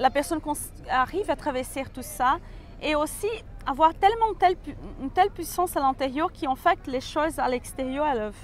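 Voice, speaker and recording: A woman with a slight Brazilian accent speaks at a moderate pace in a high pitch with lively intonation, with music in the background. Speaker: personal development coach. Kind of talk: interview. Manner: halting.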